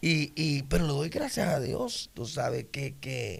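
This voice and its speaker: A man speaks with vocal fry at a fairly high pitch, his pitch varying in an ordinary way. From Puerto Rico, Isabela. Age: 60s. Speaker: pastor. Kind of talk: interview testimony.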